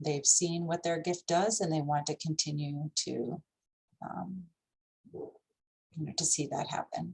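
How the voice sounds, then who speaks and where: Speaking at a very slow pace, a woman sounds somewhat breathy. Her pitch is fairly low and her intonation fairly even. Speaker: nonprofit fundraising director. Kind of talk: training presentation.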